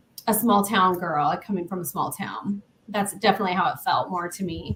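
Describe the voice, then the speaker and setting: This woman talks at a fairly quick pace. She has a slight Southern US accent. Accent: slight Southern twang. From US Midwest, Council Bluffs, Iowa. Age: 50s. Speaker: paranormal investigator. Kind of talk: casual chat.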